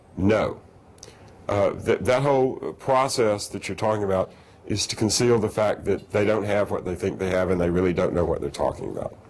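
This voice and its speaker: Fairly quick speech from a man with a fairly low voice and ordinary pitch variation, over noticeable background noise. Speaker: lecturer. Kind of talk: lecture with audience Q&A.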